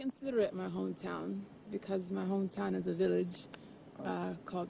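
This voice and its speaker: A woman talks at a fairly quick pace with an American accent. Noticeable background noise runs behind her. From US, Maryland. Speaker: spoken word poet. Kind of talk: interview.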